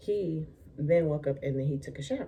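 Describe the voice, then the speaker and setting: A somewhat breathy voice with a dark, mellow tone. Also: woman. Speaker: lifestyle vlogger. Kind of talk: storytime vlog. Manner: casual, halting.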